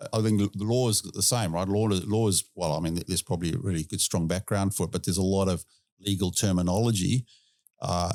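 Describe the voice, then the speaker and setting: A man with a South African accent talks at a fairly quick pace in a very deep, low pitch, with fairly even intonation and very even loudness. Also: very clean recording, silent background. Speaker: industry expert guest. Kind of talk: casual chat.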